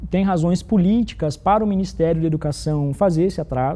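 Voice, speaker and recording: Dark, mellow tone in a man's high voice. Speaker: corporate program presenter. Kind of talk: live corporate broadcast. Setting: studio, live internal broadcast with virtual set. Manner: fast.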